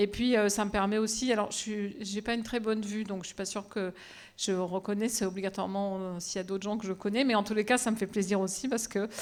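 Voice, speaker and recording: At a very fast pace, a woman talks in a monotone, flat way. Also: medium pitch for a woman. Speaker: professor of bacteriology. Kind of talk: lecture. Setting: auditorium with audience. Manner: loud.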